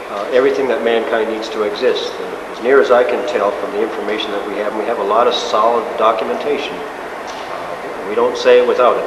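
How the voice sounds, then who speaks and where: Noticeable background noise accompanies a man speaking at a fairly quick pace. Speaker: interviewee. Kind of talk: interview answer. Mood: earnest, assertive. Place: hall. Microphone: camera far.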